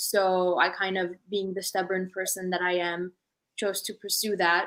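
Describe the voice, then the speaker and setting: A woman speaks in an ordinary speaking voice at medium pitch. The recording is very clean, with a silent background. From Los Angeles, US, born in Armenia. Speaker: aerospace engineer, panelist. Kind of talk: panel discussion.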